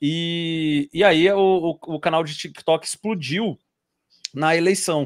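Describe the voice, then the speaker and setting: Against a quiet background, a man with a high pitch speaks at a very slow pace and with fairly even intonation. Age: 30s. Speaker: YouTuber and civil servant; interview guest. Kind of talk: interview. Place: home room. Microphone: video call.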